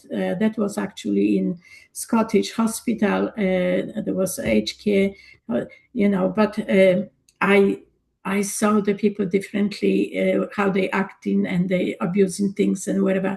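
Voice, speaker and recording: This woman talks at a fairly slow pace. Her speech carries a Polish accent. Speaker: energy coach and former nurse. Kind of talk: casual discussion.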